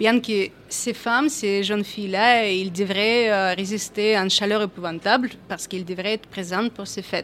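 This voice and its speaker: A woman speaks at a fairly slow pace with a slight non-native accent. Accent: slight foreign. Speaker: photojournalist. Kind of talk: panel discussion.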